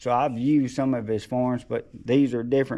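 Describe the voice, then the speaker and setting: In an Alabama accent, a man speaks with a dark, mellow tone and monotone, flat intonation. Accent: Southern US (Alabama). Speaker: taxidermist and handyman. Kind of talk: casual vlog talk. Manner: mumbling.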